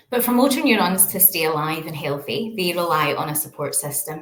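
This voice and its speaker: With a Glaswegian accent, a woman talks at a fairly low pitch with ordinary pitch variation, and audible room echo is heard. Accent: Glaswegian Scottish. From Scotland, Glasgow. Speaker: researcher. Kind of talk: lecture.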